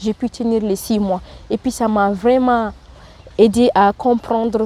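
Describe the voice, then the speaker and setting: A woman with a fairly high pitch talks at a fairly slow pace, using ordinary pitch variation. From Mauritania. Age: 20s. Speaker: training programme participant. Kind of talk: interview testimony. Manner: halting.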